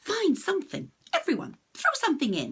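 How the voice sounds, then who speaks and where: Using a put-on character voice, a woman squeaks at an extremely high pitch. She keeps a moderate pace. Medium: read story.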